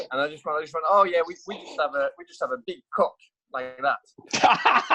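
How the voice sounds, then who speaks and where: A man speaks with a French accent. His loudness swings widely. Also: moderate pace. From France. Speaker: motorcycle racer and test rider. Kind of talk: casual chat. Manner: halting, many fillers.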